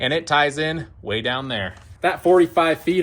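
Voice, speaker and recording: A man speaks in an unremarkable speaking voice. His pitch is fairly high and his pace fairly quick. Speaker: DIY tiny house builder. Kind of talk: video tour with cost breakdown. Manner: casual, conversational.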